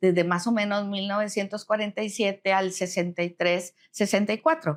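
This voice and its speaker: An unremarkable speaking voice with ordinary pitch variation, on a very clean recording with a silent background. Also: woman. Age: 60s. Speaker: retired human resources professional. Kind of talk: interview conversation.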